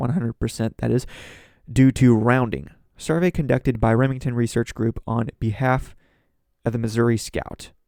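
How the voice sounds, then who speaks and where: This man has a dark, mellow tone and ordinary pitch variation, recorded with a dry, close sound and no echo. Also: medium pitch for a man, moderate pace. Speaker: political commentary podcast host. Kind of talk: news reaction commentary. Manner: slightly slurred speech.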